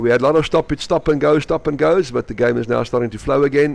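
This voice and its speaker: Talking very fast with a South African accent, a man at medium pitch shows vocal fry. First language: Afrikaans. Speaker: sports commentator. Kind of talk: live commentary. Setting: indoor swimming pool venue. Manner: animated.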